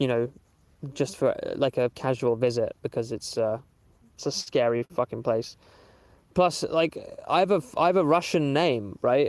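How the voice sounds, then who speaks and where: A man with a Southern English accent leaves long, frequent pauses. The recording is dry and close, without echo. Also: ordinary pitch variation, moderate pace, very clean recording, silent background. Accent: normal Southern English. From southern England (Waterlooville, Hampshire). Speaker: musician and streamer. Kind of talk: casual live stream chat. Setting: outdoors livestream. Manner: hesitant, many fillers.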